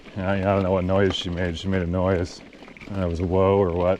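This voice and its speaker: The voice's intonation stays fairly even while noticeable background noise is present. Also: man. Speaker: outdoor vlogger. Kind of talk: casual monologue. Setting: outdoors. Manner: casual, halting.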